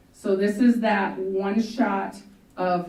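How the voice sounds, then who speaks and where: Audible room echo surrounds a woman's medium-pitched voice with fairly even intonation. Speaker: school district administrator. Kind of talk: presentation to a school board. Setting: school board meeting room. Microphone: microphone broke, speaking without mic.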